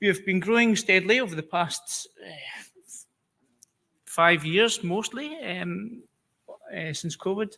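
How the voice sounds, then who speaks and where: A man with a Scottish accent, high pitch, ordinary pitch variation, bright, sharp tone, very slow pace, long, frequent pauses and big swings in loudness. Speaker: immunology scientist. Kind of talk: conference presentation. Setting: conference stage with audience. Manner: hesitant, many fillers.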